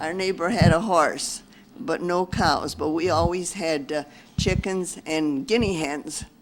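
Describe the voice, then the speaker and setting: Against noticeable background noise, a speaker with an American accent talks fairly slowly with ordinary pitch variation. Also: woman, fairly low pitch for a woman. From Perry, western New York. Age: 70s. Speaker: local elder interviewee. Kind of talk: interview.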